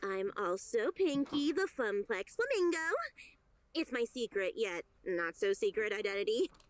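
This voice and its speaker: In a put-on character voice, a woman speaks at a moderate pace with a fairly high pitch that swings very widely. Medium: game stream. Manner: friendly, perky.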